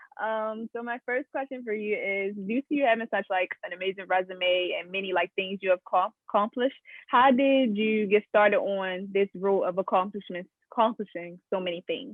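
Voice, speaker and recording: A woman with a Baltimore accent, medium pitch, ordinary pitch variation and a moderate pace. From Baltimore, Maryland. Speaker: student journalist interviewer. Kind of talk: interview. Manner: halting, many fillers.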